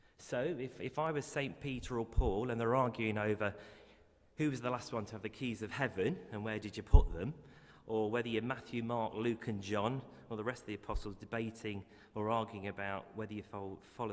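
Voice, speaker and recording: A man with an English accent, fairly low-pitched, at a fairly quick pace, with big swings in loudness. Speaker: eulogy speaker, family member. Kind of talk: eulogy. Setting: funeral service. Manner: halting, repeats words.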